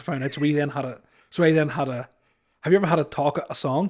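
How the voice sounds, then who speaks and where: A man with an Irish accent speaks at a very fast pace. His voice is fairly high, with ordinary pitch variation. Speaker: comedian. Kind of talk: casual chat. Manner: halting.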